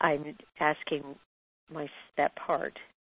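A woman speaks with a very deep, low voice. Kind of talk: sharing in a spiritual group call. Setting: phone call.

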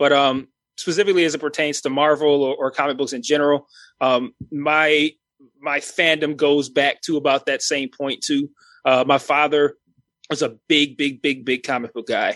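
A man talks at a moderate pace and fairly high pitch with fairly even intonation. The sound is dry and close with no echo, against a quiet background. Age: 30s. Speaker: YouTube film and TV reviewer. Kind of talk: casual chat. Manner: halting.

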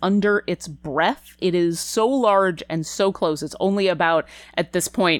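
This is an unforced reading voice. It is simply read without strain.

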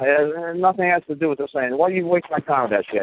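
At a very fast pace, a man with an American accent talks in a high-pitched voice with lively intonation. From New York. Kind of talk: heated casual advice with profanity.

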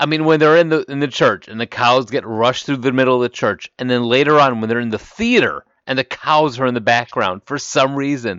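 Talking fairly quickly, a man has an unremarkable speaking voice, a medium pitch and ordinary pitch variation. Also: hardly any pauses. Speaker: podcast host. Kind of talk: casual banter podcast chat.

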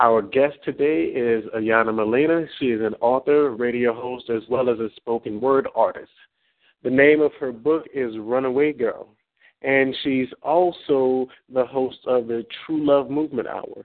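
A man with an American accent talks in a normal speaking voice at medium pitch, with fairly even intonation and a fairly slow pace. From North Texas. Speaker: radio host. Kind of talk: live radio show interview.

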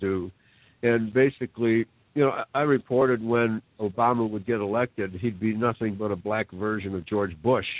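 Here is a man with a normal speaking voice. His pitch is medium and varies in an ordinary way. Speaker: guest on talk show. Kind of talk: casual talk show conversation. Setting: online call.

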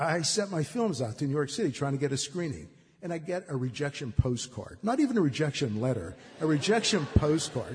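A man with a Western Pennsylvania accent at a moderate pace, with very wide pitch swings. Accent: Western Pennsylvania American. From Braddock, near Pittsburgh, US. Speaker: filmmaker. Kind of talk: storytelling tribute. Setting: stage with audience.

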